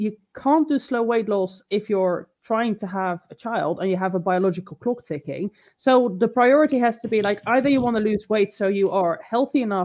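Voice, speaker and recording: A woman with a plain, everyday voice, a fairly high pitch, ordinary pitch variation and a moderate pace. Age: 30s. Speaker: fitness coach and bodybuilder. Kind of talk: casual chat. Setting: online live stream.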